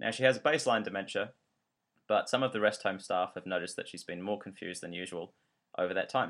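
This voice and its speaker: A man speaks very fast with a New Zealand accent and a fairly low pitch. His pitch varies in an ordinary way, while his loudness swings widely. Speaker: podcast host, trainee doctor. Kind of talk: educational podcast narration.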